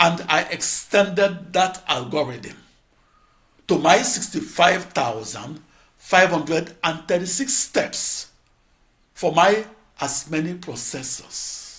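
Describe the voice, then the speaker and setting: With a high pitch and lively intonation, a man speaks at a very slow pace, leaving long, frequent pauses. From Nigeria. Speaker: computer scientist, lecturer. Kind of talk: lecture-style narration.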